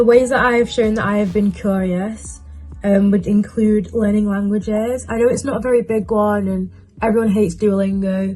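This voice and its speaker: With a British accent, a somewhat breathy woman speaks at a medium pitch and a fairly quick pace, her intonation fairly even. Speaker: university student vlogger. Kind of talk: casual vlog advice while doing makeup.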